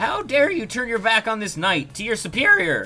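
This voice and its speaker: A man puts on a whiny character voice at a high pitch. He keeps a moderate pace. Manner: indignant, scolding.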